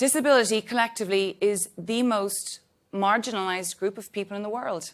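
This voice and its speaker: In a very clean recording with a silent background, a woman speaks in an Irish accent. Her pitch is medium with ordinary variation, and her pace is moderate. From Ireland. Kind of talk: panel discussion opening remarks. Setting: stage with audience. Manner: talkative.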